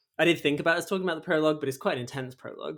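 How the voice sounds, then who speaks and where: Ordinary pitch variation from a man with a British accent. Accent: regional British. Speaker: podcast host. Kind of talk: interview.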